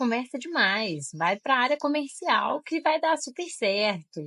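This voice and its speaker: A woman speaks at a moderate pace with a strong Minas Gerais accent. Her pitch swings very widely. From Minas Gerais, Brazil (Diamantina). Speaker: tech recruiter and career mentor. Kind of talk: interview conversation. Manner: sweet, friendly.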